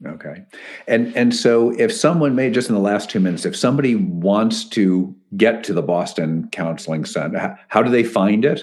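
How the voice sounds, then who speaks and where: At a moderate pace, a man with an American accent and a normal speaking voice talks at a medium pitch with lively intonation. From Connecticut. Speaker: podcast host, ministry president. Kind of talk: interview.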